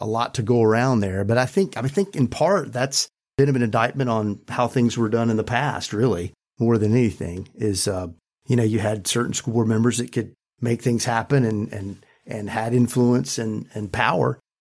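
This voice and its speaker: An ordinary speaking voice from a man with an American accent, medium pitch, ordinary pitch variation and a moderate pace, in a very clean recording with a silent background. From US South, rural North Carolina. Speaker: school board member and business leader. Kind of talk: panel discussion.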